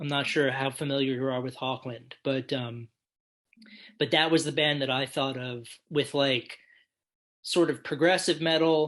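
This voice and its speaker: Against a quiet background, the speaker talks at a fairly slow pace with an American accent. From United States. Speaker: podcast co-host, music reviewer. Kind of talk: casual album review chat.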